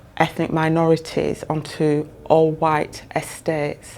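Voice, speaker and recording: A woman speaks very slowly in a Yorkshire accent, her pitch very deep and low for a woman and her intonation monotone and flat. Noticeable background noise runs underneath. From northern England (Bradford, Yorkshire). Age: 60s. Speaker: social housing professional. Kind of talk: interview.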